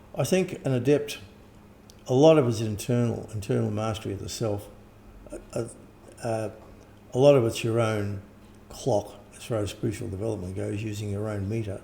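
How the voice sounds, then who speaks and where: With an Australian accent and a fairly low pitch, a man speaks in a dark, mellow, somewhat breathy tone, his loudness swinging widely amid long, frequent pauses and audible room echo. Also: ordinary pitch variation, moderate pace. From Australia or New Zealand. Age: 70s. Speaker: occult teacher and author. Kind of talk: interview. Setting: at home. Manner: halting, with false starts.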